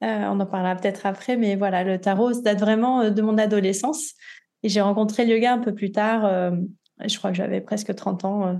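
A woman with a normal speaking voice talks at a medium pitch and moderate pace over a quiet background. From southern France, Nice. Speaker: yoga guide and tarot practitioner. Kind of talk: interview, casual conversation; guided meditation instructions.

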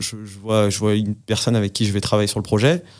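A man talks with a fairly low pitch. There is no background sound in this very clean recording. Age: 30s. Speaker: chartered accountant. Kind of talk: casual interview. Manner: hesitant with many fillers.

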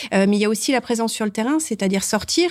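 Heard in a very clean recording with a silent background, a woman speaks at a fairly high pitch. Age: 40s. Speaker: bank branch manager. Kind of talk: interview. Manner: hesitant, with frequent fillers.

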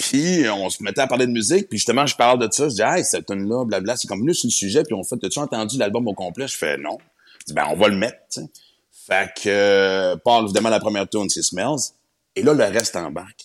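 With a plain, everyday voice, this man speaks at a fairly low pitch and uses lively intonation. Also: fairly quick pace. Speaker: comedian and radio host. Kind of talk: casual chat.

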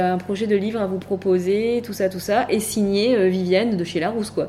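Ordinary pitch variation in an unremarkable speaking voice. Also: woman. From Var, southern France (Hyères). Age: 30s. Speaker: entrepreneur, cancer survivor. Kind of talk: casual interview. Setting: in person at guest's office.

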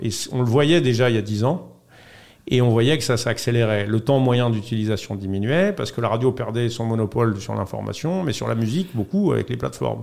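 The man's medium-pitched voice shows ordinary pitch variation as he talks at a moderate pace. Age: 40s. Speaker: podcast studio founder. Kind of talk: interview. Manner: hesitant with fillers.

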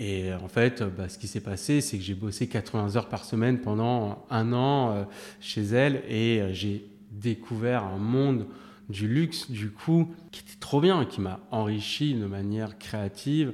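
Speaking at a very slow pace, a man with a fairly low pitch shows ordinary pitch variation and big swings in loudness. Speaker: print production director. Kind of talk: casual interview.

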